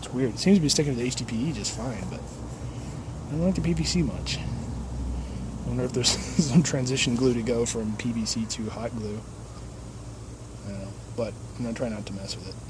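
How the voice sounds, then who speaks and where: Noticeable background noise sits behind a man's speech. He talks at a fairly quick pace with long, frequent pauses. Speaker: DIY homesteader. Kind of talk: casual DIY video narration. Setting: outdoors. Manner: fast, words run together.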